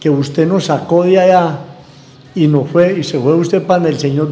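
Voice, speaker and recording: Amid noticeable background noise and audible room echo, a man with a high pitch speaks at a moderate pace with fairly even intonation. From Colombia, Antioquia (San Antonio de Prado, Medellín). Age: 60s. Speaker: local shopkeeper and restaurant owner. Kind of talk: interview storytelling.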